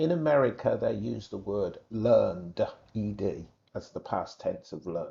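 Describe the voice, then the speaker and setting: Here a man talks in a British accent. His pace is fairly slow. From England. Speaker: English exam teacher. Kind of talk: tutorial.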